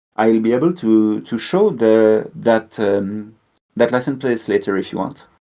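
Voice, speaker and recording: With a French accent, a man of medium pitch speaks at a fairly slow pace in a dark, mellow tone with ordinary pitch variation against a quiet background. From French-speaking Switzerland. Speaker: robot builder and video creator. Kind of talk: interview. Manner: halting, many fillers.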